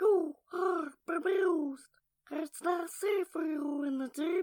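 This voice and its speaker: This cartoonish character voice is extremely high in pitch and moves at a fairly slow pace. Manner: eerie, cryptic.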